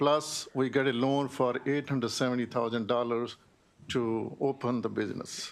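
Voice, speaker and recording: In a very clean recording with a silent background, a man talks at a moderate pace and medium pitch, his loudness very even and his intonation monotone and flat. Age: 60s. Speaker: small business owner. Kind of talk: testimony. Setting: legislative committee hearing.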